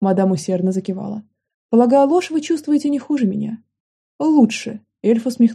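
Quiet backdrop behind an unforced voice reading with lively intonation

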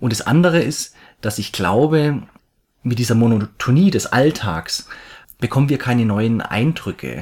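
With a slight Swabian accent, a man speaks at a moderate pace and medium pitch, using lively intonation and long, frequent pauses. The recording is very clean, with a silent background. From Swabia, near Stuttgart. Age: 30s. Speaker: architect planning a world trip. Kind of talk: casual interview. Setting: living room, on a couch.

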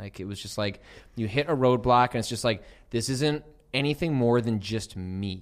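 A man speaks at a moderate pace in a normal speaking voice, medium in pitch with ordinary pitch variation. The recording is very clean, with a silent background. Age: 30s. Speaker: video game journalist and podcast host. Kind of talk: casual chat. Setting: studio.

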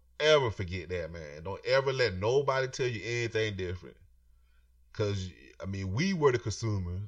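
Against a quiet background, a somewhat breathy man with a fairly low pitch talks at a moderate pace with lively intonation. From Florida, US South. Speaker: podcast host. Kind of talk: casual solo monologue. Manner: casual, profane.

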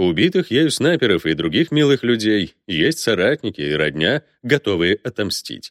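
The background stays quiet while a person is reading aloud in a natural voice.

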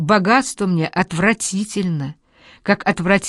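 The voice heard here reads in a natural way.

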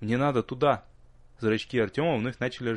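This is an unforced reading voice. Nothing about it is pushed.

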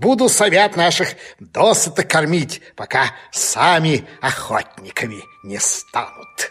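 A man's put-on character voice, fairly high and fairly bright with a slightly husky edge, big pitch swings and a slow pace

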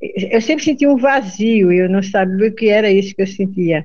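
Speaking at a moderate pace, a woman with a Pernambuco sertão accent has a medium pitch and a dark, mellow tone. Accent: Pernambuco sertanejo Northeastern Brazilian. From Brazilian Northeast, Salgueiro, Pernambuco sertão. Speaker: accordionist and singer. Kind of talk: interview. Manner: halting, repeats words.

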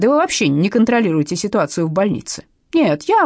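Against a quiet background, the speaker reads in an unforced reading voice.

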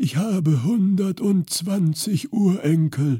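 Someone speaks in a put-on character voice at a middle pitch, sounding croaky and raspy.

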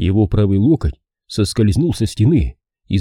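Quiet surroundings and plain reading aloud

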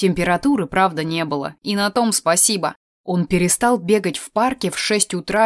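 Here is a natural reading voice with ordinary pitch variation. The background is quiet.

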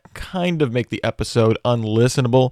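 Recorded dry and close with no echo, a man's voice comes through very clean against a silent background. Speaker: podcast host. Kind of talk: solo podcast update. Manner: casual with filler words.

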